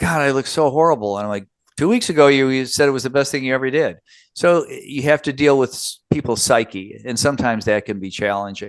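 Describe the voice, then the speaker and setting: A man's medium-pitched voice at a very fast pace, with ordinary pitch variation and a quiet background. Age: 70s. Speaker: plastic surgeon. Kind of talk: podcast interview. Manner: halting.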